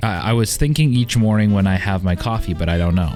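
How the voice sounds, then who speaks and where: A man's fairly low voice is heard over music in the background. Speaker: YouTuber answering viewer questions. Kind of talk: casual Q&A chat. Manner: soft-spoken.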